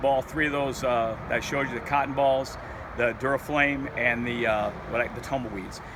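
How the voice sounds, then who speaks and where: With noticeable background noise behind him, a man speaks at a medium pitch and a moderate pace, with ordinary pitch variation. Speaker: outdoor survival video maker. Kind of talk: tutorial. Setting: outdoors. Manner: halting, stuttering; informal.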